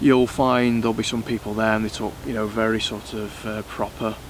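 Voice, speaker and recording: The man keeps up a fairly quick pace, with noticeable background noise in the recording. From South Yorkshire, England (Sheffield, northeast Derbyshire). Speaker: bushcraft and survival YouTuber. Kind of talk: casual Q&A monologue. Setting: outdoors. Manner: hesitant, many fillers.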